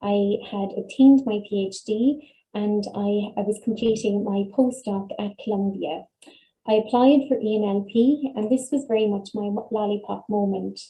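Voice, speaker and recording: With an Irish accent, a woman speaks at a moderate pace and a fairly high pitch, her intonation fairly even, her tone dark and mellow and somewhat breathy. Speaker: dietitian and nutrition researcher. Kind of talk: webinar talk. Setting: online webinar. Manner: soft-spoken.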